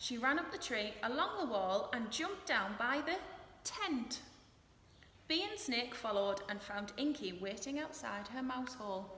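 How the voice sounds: A woman talks at a fairly high pitch with a fairly bright tone. Her pace is fairly slow and her intonation is lively.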